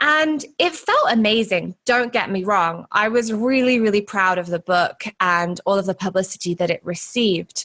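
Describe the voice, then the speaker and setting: A woman with a British accent speaks at a medium pitch and a moderate pace, with lively intonation, hardly any pauses and very even loudness. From UK. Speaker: podcast host and money mindset coach. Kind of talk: personal storytelling podcast monologue.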